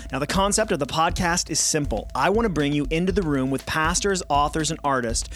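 A man speaks fairly quickly at a fairly high pitch, with ordinary pitch variation. Music plays in the background. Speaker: podcast host and pastor. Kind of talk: interview podcast conversation.

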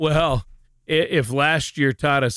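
A man with an American accent speaks at medium pitch and a fairly slow pace, with vocal fry. The recording is very clean, with a silent background and a dry, close sound with no echo. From Minnesota. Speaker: radio co-host and announcer. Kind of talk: casual chat.

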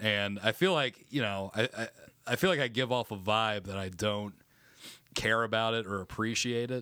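A man at a moderate pace and medium pitch, with a bright, sharp tone. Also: very clean recording, silent background. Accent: American. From Florida. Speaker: stand-up comedian. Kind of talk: casual chat.

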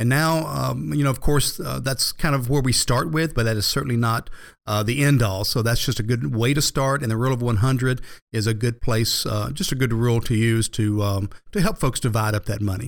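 A man talks at a fairly quick pace and medium pitch. The recording is very clean with a silent background. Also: ordinary pitch variation. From US South, Georgia (Marietta area). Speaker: financial advisor. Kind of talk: sponsored radio talk show. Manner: halting, many fillers.

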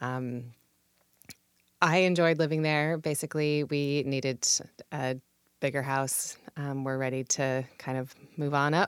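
The delivery is fairly slow, with an American accent and long, frequent pauses. Intonation stays fairly even. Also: woman, very deep, low pitch for a woman. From Washington State, Puyallup. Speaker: politics podcast host, here interviewed as guest. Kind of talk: interview. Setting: studio.

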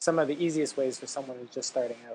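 The voice is quiet, with fairly even intonation. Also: man. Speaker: podcast host, writer and travel entrepreneur. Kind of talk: interview; scripted intro and outro. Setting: remote audio call with crackling mic. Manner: quiet on the recording.

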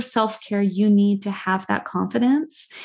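Against a quiet background, a woman speaks at a fairly slow pace, her medium-pitched, somewhat breathy voice showing ordinary pitch variation. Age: 40s. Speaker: children's book author and adoptee. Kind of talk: interview podcast. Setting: video call.

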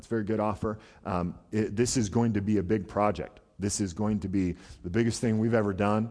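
In an ordinary speaking voice, a man talks fairly quickly at a fairly low pitch with fairly even intonation. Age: 30s. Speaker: pastor. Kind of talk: sermon. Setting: church.

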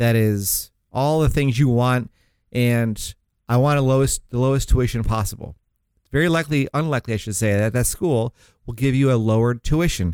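An ordinary speaking voice from a man, medium in pitch, its pitch variation ordinary. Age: 40s. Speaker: financial advisor and radio host. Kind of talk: radio talk show. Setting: radio studio.

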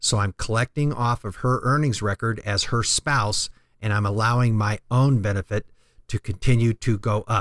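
A man with a normal speaking voice, medium pitch, fairly even intonation and a moderate pace, on a very clean recording with a silent background and a dry, close sound with no echo. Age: 50s. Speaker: financial planner radio host. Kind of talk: informational radio talk show. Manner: explanatory, conversational.

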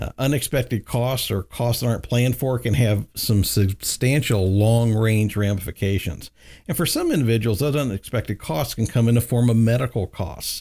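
On a very clean recording with a silent background, a man of medium pitch and dark, mellow tone speaks at a moderate pace with ordinary pitch variation and hardly any pauses. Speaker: financial advisor radio host. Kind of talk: radio talk show. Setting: studio.

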